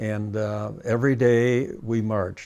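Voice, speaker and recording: With an American accent, the voice has a dark, mellow tone. The recording is very clean, with a silent background. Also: man. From US Midwest (Cleveland and Detroit area). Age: 90s. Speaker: war veteran. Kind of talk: interview testimony. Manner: halting, many fillers.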